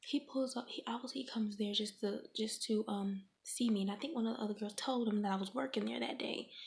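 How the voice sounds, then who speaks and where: A woman's fairly high, somewhat breathy voice at a fairly quick pace, with fairly even intonation and hardly any pauses. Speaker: ASMR content creator. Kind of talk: ASMR storytime, casual talk to camera.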